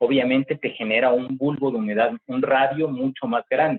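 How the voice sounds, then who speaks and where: A man with a plain, everyday voice and a medium pitch speaks at a moderate pace with fairly even intonation. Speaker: agricultural industry professional, guest speaker. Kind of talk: guest talk to university class, Q&A.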